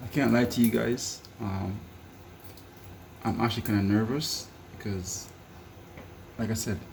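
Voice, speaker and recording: The man talks at a fairly slow pace with fairly even intonation and long, frequent pauses. Audible room echo fills the recording. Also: fairly low pitch for a man. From Jamaica. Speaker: home cook and vlogger. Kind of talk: casual cooking vlog. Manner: casual, repetitive.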